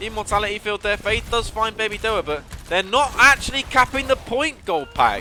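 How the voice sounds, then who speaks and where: Music plays behind a man who speaks in a raised, projected voice at a moderate pace. His tone is animated, his pitch high with ordinary variation. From southern England. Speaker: esports caster. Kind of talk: live commentary. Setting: live stream.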